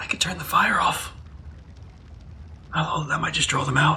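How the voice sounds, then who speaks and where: This is a raspy, whispered put-on character voice at a moderate pace. Clear background noise can be heard. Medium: actual play. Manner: blunt, impulsive.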